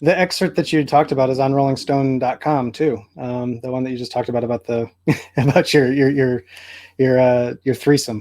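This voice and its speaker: A man speaks in a normal speaking voice at a medium pitch, with fairly even intonation. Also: fairly quick pace. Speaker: music journalist. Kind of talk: interviewer questions.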